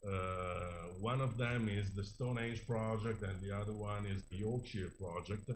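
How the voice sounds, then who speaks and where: Somewhat breathy, a man speaks at a fairly slow pace with fairly even intonation, and audible room echo surrounds him. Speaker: archaeologist presenting research. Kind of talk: conference presentation. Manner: hesitant, many fillers.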